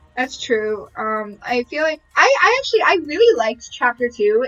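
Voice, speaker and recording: A woman's high-pitched voice at a moderate pace, with ordinary pitch variation and music in the background. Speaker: streamer playing a video game. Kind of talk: live gameplay commentary. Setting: live stream. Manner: animated.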